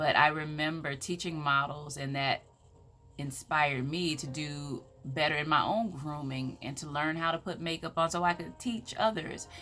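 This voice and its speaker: Animated and with a Southern US accent, a woman with a very deep, low pitch speaks at a moderate pace with ordinary pitch variation. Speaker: motivational speaker. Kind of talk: motivational talk.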